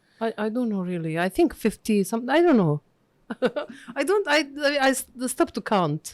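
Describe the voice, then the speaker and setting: Delivered with a Bosnian accent at a moderate pace, the speech has long, frequent pauses and very wide pitch swings. The sound is dry and close, with no echo. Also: woman, fairly high pitch for a woman. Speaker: diplomat and linguist. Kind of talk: interview. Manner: halting.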